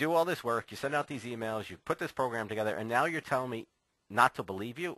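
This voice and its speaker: A man speaks in a medium pitch with a bright, sharp tone, recorded dry and close with no echo. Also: quiet background. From New Jersey, US. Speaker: dating coach. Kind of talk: webinar presentation. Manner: fast; fumbles words.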